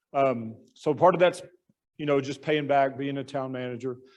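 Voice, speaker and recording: In an American accent, a man with a plain, everyday voice speaks at a fairly high pitch with fairly even intonation. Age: 60s. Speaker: town manager. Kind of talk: club talk with slides.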